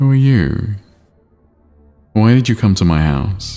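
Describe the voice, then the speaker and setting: Faint music plays behind a man doing a put-on character voice. He goes at a fairly slow pace with lively intonation. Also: fairly low pitch for a man. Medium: game stream.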